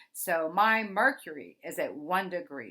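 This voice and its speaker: A woman speaks in a bright, sharp tone. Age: 50s. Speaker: psychic astrologer. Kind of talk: astrology forecast monologue. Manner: casual, conversational.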